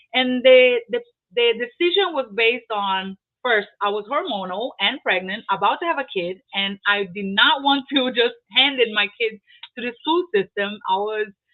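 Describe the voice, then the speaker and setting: A woman with a Portuguese accent talks at a fairly high pitch. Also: moderate pace. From Brazil. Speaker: real estate investor. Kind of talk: interview. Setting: live online video stream. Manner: halting, with many repeated words.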